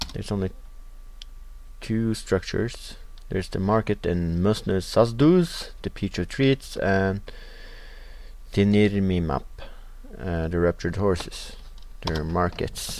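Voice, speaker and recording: Fairly slow speech from a man with a Norwegian accent, broken by long, frequent pauses. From Norway. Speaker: video game let's player. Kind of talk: gameplay commentary. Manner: casual, with frequent filler sounds.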